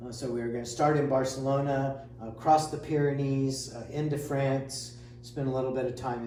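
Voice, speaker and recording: There is audible room echo and noticeable background noise. A man of medium pitch talks at a moderate pace with fairly even intonation. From Indiana, US Midwest. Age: 60s. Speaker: amateur triathlete. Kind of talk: casual interview chat. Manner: hesitant with many filler sounds.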